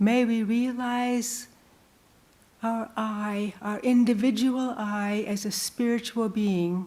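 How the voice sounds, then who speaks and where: A woman speaks at a very slow pace with a fairly high pitch and monotone, flat intonation. Her tone is dark and mellow, and somewhat breathy. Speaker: nun and retreat teacher. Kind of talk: spiritual retreat talk with invocation. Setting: temple retreat with audience. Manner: slow, prayerful.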